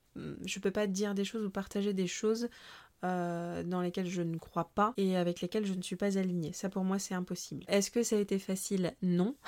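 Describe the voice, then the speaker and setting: In a very clean recording with a silent background, a woman with a normal speaking voice talks fairly quickly at medium pitch, her intonation fairly even. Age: 30s. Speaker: book editor and writing coach. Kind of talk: interview.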